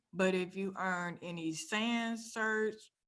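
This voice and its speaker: Audible room echo around a woman's voice, medium in pitch, with ordinary variation in pitch. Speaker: cybersecurity career speaker. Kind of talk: conference talk.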